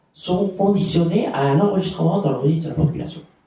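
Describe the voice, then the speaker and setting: Speaking at a fairly quick pace, a man with a high pitch is heard with audible room echo. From Belgium, Borinage (Hainaut). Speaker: activist for homeless people's rights. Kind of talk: conference testimony. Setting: conference with audience. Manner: halting, many repetitions.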